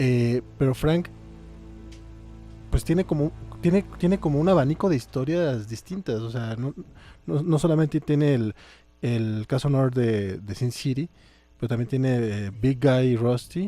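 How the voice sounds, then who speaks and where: Music plays in the background as a man speaks at a medium pitch with lively intonation. His pace is fairly slow, with long, frequent pauses. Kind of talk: podcast discussion of comics, casual talk. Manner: casual, chatty.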